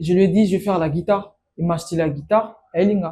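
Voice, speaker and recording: A woman speaks at a moderate pace, her medium pitch carried by fairly even intonation. Her tone is dark and mellow, and somewhat breathy. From DR Congo, Kinshasa area. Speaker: master of ceremonies. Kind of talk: interview.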